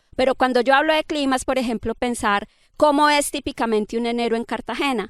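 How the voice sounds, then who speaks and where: Talking at a fairly quick pace, a woman with a high pitch shows ordinary pitch variation in a dry, close sound with no echo. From Colombia. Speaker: climate scientist. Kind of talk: interview conversation. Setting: outdoors by a river.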